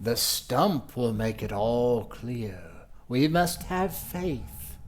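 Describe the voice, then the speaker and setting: A man's put-on character voice at a medium pitch, delivered at a very slow pace over clear background noise. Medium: actual play. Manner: earnest, faithful.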